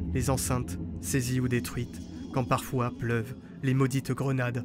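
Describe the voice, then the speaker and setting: Music behind a man's mid-range voice, fairly unhurried in tempo. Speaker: poet narrator. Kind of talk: poetic narration. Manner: a bit quiet.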